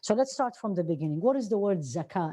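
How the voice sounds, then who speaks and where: A dark, mellow tone with lively intonation and an Arabic accent, against a quiet background. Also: woman. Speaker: Islamic teacher. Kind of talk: lecture.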